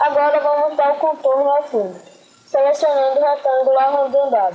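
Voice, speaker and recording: High-pitched female speech with normal rise and fall in pitch. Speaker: graphic design tutorial maker. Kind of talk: tutorial.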